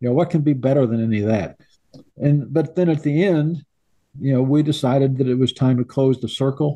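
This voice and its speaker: This man speaks fairly quickly with a Midwestern US accent, his pitch fairly high and ordinarily varied. His tone is dark and mellow, and his loudness stays very even. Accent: US Midwest. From Illinois. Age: 80s+. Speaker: sportswriter and author. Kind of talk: interview. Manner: halting.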